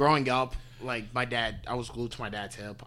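In an American accent, a man talks at a moderate pace with a bright, sharp tone and ordinary pitch variation. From Cleveland, Ohio (Parma). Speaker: college wrestler. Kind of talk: casual chat.

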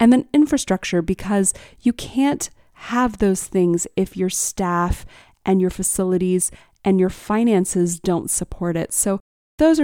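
In a very clean recording with a silent background, a woman speaks at a medium pitch with ordinary pitch variation. Her tone is dark and mellow, and the sound is dry and close with no echo. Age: 40s. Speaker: arts festival CEO. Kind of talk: interview conversation.

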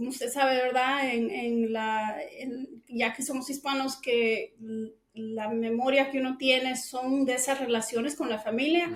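Her pitch is high and her intonation fairly even. The woman speaks at a very slow pace. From Guatemala City, moved to Texas at six. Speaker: cleaning business owner. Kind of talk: interview.

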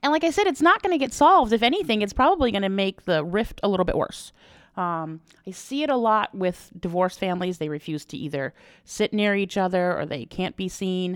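Very wide pitch swings from a woman at a fairly quick pace, on a very clean recording with a silent background. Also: medium pitch for a woman. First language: not English. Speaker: wedding planner. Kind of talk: casual chat.

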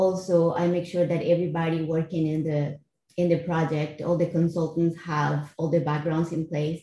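A woman speaks with a Costa Rican accent at a moderate pace and a fairly low pitch, somewhat breathy. Her tone is dark and mellow, her intonation monotone and flat. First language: Spanish. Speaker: finance executive in cybersecurity. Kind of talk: interview.

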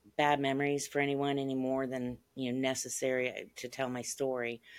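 A woman speaks in an American accent. Her pace is moderate. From central Ohio, US. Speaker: author and abduction experiencer. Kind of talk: interview, personal testimony.

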